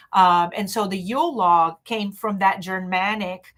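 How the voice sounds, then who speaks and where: The speaker has a non-native accent and fairly even intonation. The recording is very clean, with a silent background. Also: woman. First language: not English. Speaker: witchcraft teacher. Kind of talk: live stream talk. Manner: halting, many fillers.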